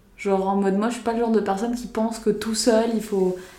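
Her fairly high voice carries a dark, mellow tone, and the woman speaks in a flat monotone with audible room echo around her. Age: 20s. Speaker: podcast host. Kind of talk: casual chat.

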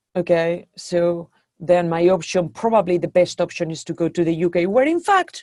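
A woman with a slight Spanish accent speaks at a fairly low pitch and a moderate pace, with fairly even intonation. The sound is dry and close, with no echo. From Spain. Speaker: venture capital investor. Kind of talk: interview. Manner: hesitant with many fillers.

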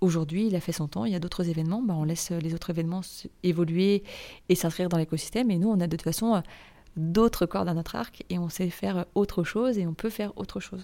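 In a very clean recording with a silent background, a woman speaks at a very fast pace with a fairly low pitch and a dark, mellow tone. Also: ordinary pitch variation. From France, Nantes. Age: 30s. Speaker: association director and freelance event organiser. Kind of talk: interview. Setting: in person at the guest's offices.

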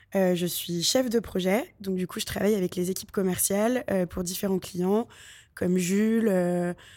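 A woman's dark, mellow tone comes through in a very clean recording against a silent background. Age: 20s. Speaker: junior advertising project manager. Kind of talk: interview.

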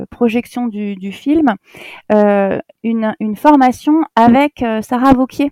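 The sound is dry and close with no echo, carrying a woman's dark, mellow tone. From Alsace, Strasbourg suburbs. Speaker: primary school teacher and headteacher. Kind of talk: casual interview chat.

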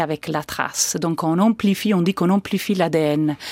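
A woman in a very clean recording with a silent background and a dry, close sound with no echo. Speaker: forensic genetics researcher. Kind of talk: expert interview answers.

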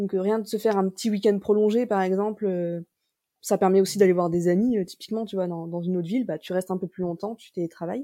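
A woman with an unremarkable speaking voice talks at a medium pitch and a fairly quick pace, with fairly even intonation. The sound is dry and close with no echo, and the recording is very clean with a silent background. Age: 20s. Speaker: digital nomad, marketing worker. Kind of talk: casual chat.

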